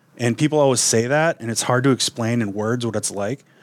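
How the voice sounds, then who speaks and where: A man with an American accent has a normal speaking voice at a medium pitch. He talks at a moderate pace in a very clean recording with a silent background. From Wisconsin. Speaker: outdoor radio show host. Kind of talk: casual interview conversation.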